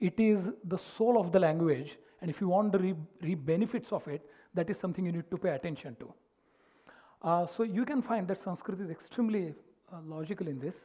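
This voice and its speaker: With a Marathi accent, a man speaks at a fairly quick pace in a high pitch, his dark, mellow tone showing ordinary pitch variation. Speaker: music teacher and speaker. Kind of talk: lecture. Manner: halting.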